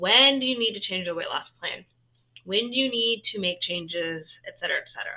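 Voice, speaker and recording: This is a woman with a fairly high pitch. Her intonation is lively. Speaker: health and fitness coach. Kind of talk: live-stream talk to viewers. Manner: fast; casual, filler-heavy.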